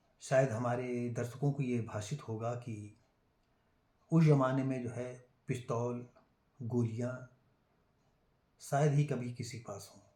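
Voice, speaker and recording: A man's medium-pitched, dark, mellow voice, somewhat breathy, in monotone, flat intonation with long, frequent pauses. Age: 70s. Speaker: YouTuber telling family history. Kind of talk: storytelling monologue. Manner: halting, many fillers.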